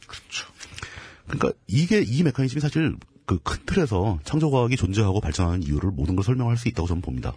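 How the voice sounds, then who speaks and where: A man talks at a very fast pace with a fairly low pitch. His pitch swings very widely. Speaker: political commentator. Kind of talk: casual chat. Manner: halting.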